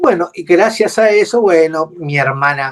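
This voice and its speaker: A high-pitched male voice at a fairly slow pace, dry and close with no echo. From Argentina, Buenos Aires then Córdoba. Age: 60s. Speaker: retired air force mechanic, war veteran. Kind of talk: testimony interview. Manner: halting, many fillers.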